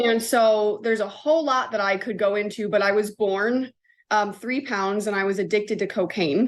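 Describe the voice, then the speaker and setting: Against a quiet background, a woman with an American accent speaks in a normal speaking voice, fairly high in pitch, with ordinary pitch variation and a moderate pace. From US Northeast, Connecticut. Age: 20s. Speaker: chaplain and consultant. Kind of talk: podcast interview.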